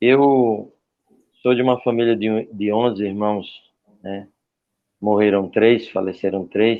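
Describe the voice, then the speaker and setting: A man's fairly low voice at a very slow pace, with fairly even intonation and long, frequent pauses. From Paraíba, Brazil (Campina Grande). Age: 40s. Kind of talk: testimony.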